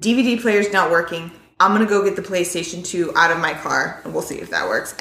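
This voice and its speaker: This is a put-on character voice, raspy and fairly even in intonation. It moves at a fairly quick pace. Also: woman, medium pitch for a woman. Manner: urgent.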